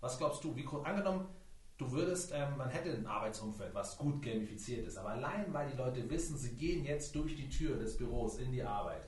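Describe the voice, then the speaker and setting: Over noticeable background noise and audible room echo, a man with a fairly high pitch talks at a fairly quick pace with ordinary pitch variation. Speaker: podcast host. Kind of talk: interview. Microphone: poorly set up equipment, voice hard to understand at times.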